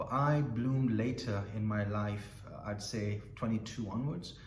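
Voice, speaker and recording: A man with a fairly low pitch speaks with ordinary pitch variation. Room echo and background noise are both audible. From northern England, Bradford (West Yorkshire). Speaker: school principal. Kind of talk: informal talk to students. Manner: hesitant, with repeated words.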